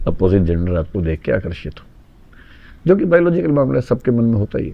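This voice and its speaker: A man with a fairly low pitch talks at a moderate pace, his voice making very wide pitch swings. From Delhi, India. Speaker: educator, UPSC coaching teacher. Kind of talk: interview answer.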